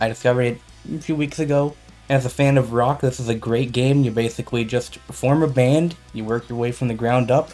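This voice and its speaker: Over music in the background, a man speaks at a moderate pace and medium pitch in a relaxed tone with fairly even intonation. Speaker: gamer. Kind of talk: let's play commentary. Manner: casual, relaxed.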